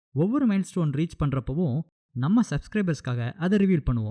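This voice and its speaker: In a dry, close sound with no echo, a man's fairly high voice has a dark, mellow tone and very wide pitch swings. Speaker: movie recap narrator. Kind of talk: channel trailer, casual talk to viewers. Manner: upbeat.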